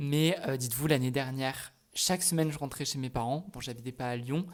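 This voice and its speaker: A man with an ordinary speaking voice, at a fairly quick pace with fairly even intonation. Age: 20s. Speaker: student vlogger. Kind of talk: casual vlog. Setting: at home in apartment.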